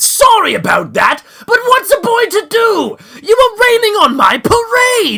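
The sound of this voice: This man's put-on character voice reaches an extremely high pitch. His pace stays moderate.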